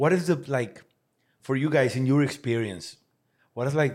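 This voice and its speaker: Speaking at a fairly slow pace, a man lets his pitch move in an ordinary way. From Mexico. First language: Spanish. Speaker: podcast host. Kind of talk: casual interview.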